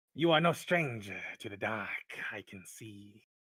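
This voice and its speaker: Using a put-on character voice that is raspy, a man talks at a very slow pace. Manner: hushed.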